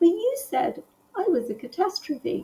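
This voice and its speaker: A woman uses a squeaky, put-on character voice at an extremely high pitch, with very wide pitch swings. Her tone is gentle. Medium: read story. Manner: kind, gentle.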